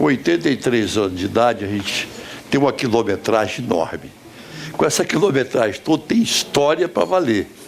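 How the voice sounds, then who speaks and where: A man talks with very wide swings in pitch over noticeable background noise. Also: medium pitch for a man, moderate pace. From Brazil, Minas Gerais / Espírito Santo border. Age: 80s+. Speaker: businessman and former senator. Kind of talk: storytelling talk. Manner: pausing.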